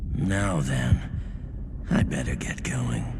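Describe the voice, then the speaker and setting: The speaker uses a cartoonish character voice. Loud background noise is present. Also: man. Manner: laid-back, offhand.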